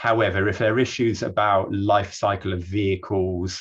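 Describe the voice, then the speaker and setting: Against a quiet background, a man talks at a moderate pace in a very deep, low, somewhat breathy voice with monotone, flat intonation. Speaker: energy systems researcher. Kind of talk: online talk / presentation.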